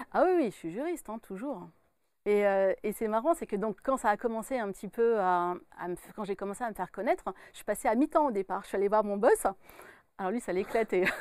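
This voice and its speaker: A woman speaks in a normal speaking voice, fairly high-pitched, with lively intonation and big swings in loudness at a fairly quick pace. The sound is dry with no echo, over a quiet background. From France, Burgundy (Dijon). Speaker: medium and author. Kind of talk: interview. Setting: studio. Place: studio. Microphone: lapel.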